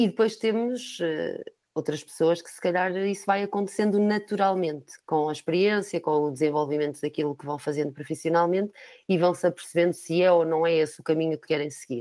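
A woman with a European Portuguese accent, a dark, mellow tone, ordinary pitch variation and a fairly quick pace. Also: fairly low pitch for a woman, big swings in loudness. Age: 40s. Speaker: recruitment company manager. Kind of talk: interview.

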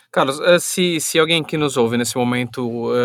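A man at medium pitch, dry and close with no echo, on a very clean recording with a silent background. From São Paulo, Brazil. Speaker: podcast co-host. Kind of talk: casual podcast chat.

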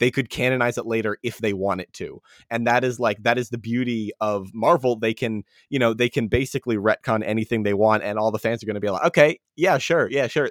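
Over a very clean recording with a silent background and a dry, close sound with no echo, a man talks at a fairly quick pace with a medium pitch, ordinary pitch variation, and an ordinary speaking voice. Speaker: podcast host. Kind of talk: casual chat.

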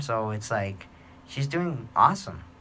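Audible room echo surrounds a man's bright, sharp tone. He speaks at a fairly slow pace. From New Mexico, Gallup. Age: 30s. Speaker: podcast host. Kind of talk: casual monologue.

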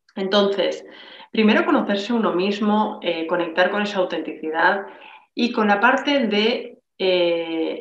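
A woman talks at a fairly slow pace with ordinary pitch variation, and audible room echo surrounds her voice. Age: 40s. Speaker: entrepreneur and networking coach. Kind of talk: casual interview. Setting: video call. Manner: fluent.

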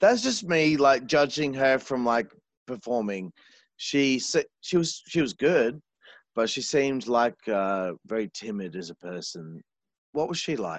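At a fairly slow pace and medium pitch, a man with an Australian accent swings his pitch very widely, in a dry, close sound with no echo against a quiet background. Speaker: podcast host. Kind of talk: casual interview chat. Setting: remote call. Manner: animated.

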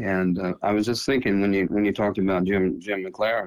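A very deep, low pitch marks this voice. It belongs to a man. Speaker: retired speech teacher, podcast co-host. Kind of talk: casual chat. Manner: halting.

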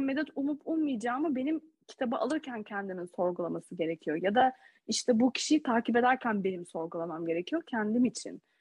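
Very wide pitch swings at a moderate pace. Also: woman. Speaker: podcast co-host and doctoral student. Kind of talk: casual chat.

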